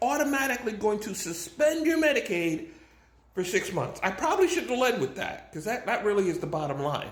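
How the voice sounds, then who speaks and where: A man at a high pitch with very wide pitch swings and a moderate pace, with audible room echo and noticeable background noise. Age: 60s. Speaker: vlogger. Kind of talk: casual monologue to camera. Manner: halting, repeats words.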